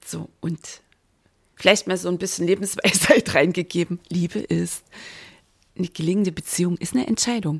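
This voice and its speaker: In a dry, close recording with no echo, a woman with a fairly low pitch and vocal fry speaks in an animated, enthusiastic tone at a moderate pace, with ordinary pitch variation and long, frequent pauses. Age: 50s. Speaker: mindset and business coach, podcaster. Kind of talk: solo podcast monologue, year in review. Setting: home, recording alone with coffee.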